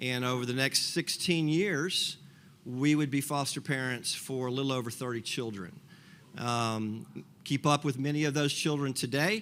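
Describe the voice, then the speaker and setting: A man talks at a moderate pace with medium pitch and ordinary pitch variation. It is an ordinary speaking voice. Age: 60s. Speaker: foster parent. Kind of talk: testimony. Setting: breakfast gathering with audience.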